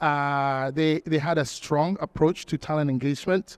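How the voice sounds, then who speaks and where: A man with a French accent, fairly high-pitched and fairly even in intonation, at a moderate pace, in a dry, close recording with no echo and a quiet background. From Togo, West Africa. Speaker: talent acquisition executive. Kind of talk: conference panel interview.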